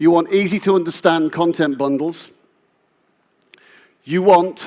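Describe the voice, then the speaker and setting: Here a man talks at a very slow pace. His intonation is fairly even. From UK. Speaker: business executive. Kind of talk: keynote speech.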